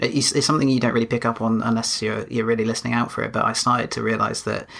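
A man speaks with an English accent at a very fast pace. His pitch sits in the medium range. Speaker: podcast co-host.

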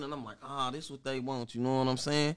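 A man with a plain, everyday voice talks at a fairly quick pace and medium pitch, recorded very cleanly against a silent background. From Wichita, Kansas. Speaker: rapper. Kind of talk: casual interview chat.

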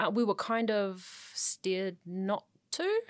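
A woman with a New Zealand accent and a medium pitch. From New Zealand, South Auckland. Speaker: sports journalist. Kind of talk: casual chat.

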